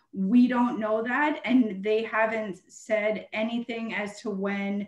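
A woman with a Canadian accent speaks at a fairly high pitch in a quiet background with audible room echo. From Canada. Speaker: municipal treasurer. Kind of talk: council meeting presentation. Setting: video call. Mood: earnest, emphatic. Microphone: video call.

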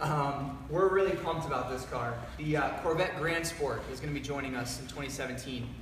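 A man with a fairly high voice speaks at a moderate pace with ordinary pitch variation. Audible room echo and light background noise are present. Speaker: company presenter. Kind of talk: live announcement chat. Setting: livestream video. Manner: filler-heavy, halting. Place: garage. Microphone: camera far.

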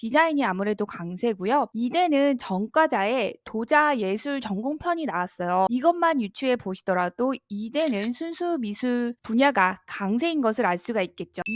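In a very clean recording with a silent background and a dry, close sound with no echo, an animated voice moves at a fairly slow pace with very wide pitch swings and hardly any pauses. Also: woman, high pitch for a woman. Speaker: art school admissions YouTuber. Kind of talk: educational vlog talk.

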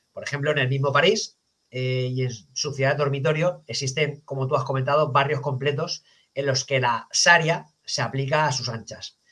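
Fairly high for a man, this voice has a bright, sharp tone and fairly even intonation. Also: moderate pace. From Spain. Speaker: podcast host and police officer; podcast host. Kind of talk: interview. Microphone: headset.

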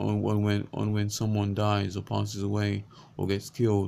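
Over light background noise, a man with a dark, mellow tone and a fairly low pitch speaks at a moderate pace. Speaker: vlogger and lay preacher. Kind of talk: fervent prayer; unscripted religious talk. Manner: fervent, pleading, repetitive; halting, with repeated words. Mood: earnest, pleading. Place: home room. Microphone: webcam.

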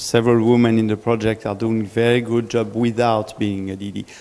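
The delivery moves at a moderate pace with a monotone, flat intonation. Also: man. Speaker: relays remote chat comments. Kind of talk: group discussion. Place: hall. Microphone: handheld.

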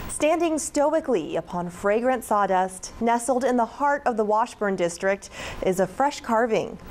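A woman speaks at a moderate pace in a fairly high voice with lively intonation, over noticeable background noise. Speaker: TV news reporter. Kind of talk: TV news report.

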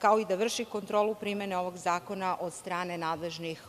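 A woman with fairly even intonation over light background noise. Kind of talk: parliamentary speech. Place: hall. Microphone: podium.

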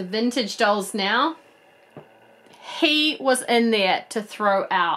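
A woman speaks slowly at a medium pitch. Her tone is fairly bright and her intonation lively.

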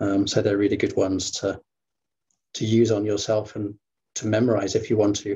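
A man with a fairly low pitch and somewhat breathy voice speaks in a flat monotone over light background noise. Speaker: qigong teacher. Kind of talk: guided meditation. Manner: slow. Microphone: video call.

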